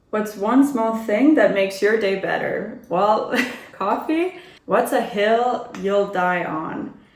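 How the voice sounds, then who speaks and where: With an American accent, a woman talks at a very slow pace in a fairly high pitch, her intonation lively and room echo audible. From Italy (Turin) and US (Maine, Boston). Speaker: travel vlogger. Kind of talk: get-to-know-me Q&A vlog.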